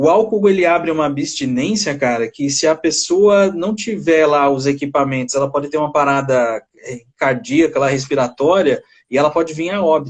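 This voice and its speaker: A man's fairly high-pitched voice at a moderate pace, with hardly any pauses and ordinary pitch variation. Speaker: psychologist. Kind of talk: casual chat. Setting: video call. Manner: halting.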